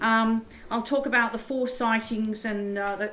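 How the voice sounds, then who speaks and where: Audible room echo follows a woman with an Australian accent and a fairly high pitch who speaks at a moderate pace in monotone, flat intonation. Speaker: professor. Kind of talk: lecture. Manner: halting.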